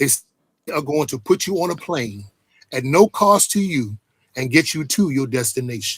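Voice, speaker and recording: A man's fairly high, somewhat breathy voice with very wide pitch swings and long, frequent pauses, in a very clean recording with a silent background. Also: moderate pace. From Washington, DC. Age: 60s. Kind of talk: interview testimony.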